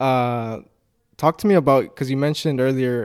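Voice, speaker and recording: An ordinary speaking voice from a man, fairly quick and fairly even in intonation, comes through on a very clean recording with a silent background. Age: 20s. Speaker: podcast host. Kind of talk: casual interview chat.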